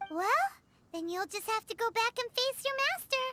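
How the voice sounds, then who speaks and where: Someone uses a put-on character voice at an extremely high pitch and a moderate pace. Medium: video game. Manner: calm, practical.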